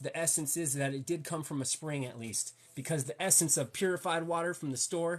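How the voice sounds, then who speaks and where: Pitched fairly high, a man with an American accent talks at a fairly quick pace. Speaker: health and wellness livestreamer. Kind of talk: casual livestream talk. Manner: animated, repetitive with restarts.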